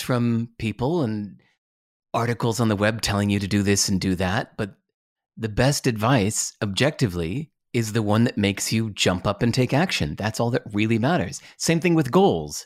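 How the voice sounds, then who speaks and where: Over a silent background in a very clean recording, a man with an American accent speaks at a moderate pace and medium pitch. He has a plain, everyday voice and lively intonation. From US, California. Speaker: author and entrepreneur. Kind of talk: interview.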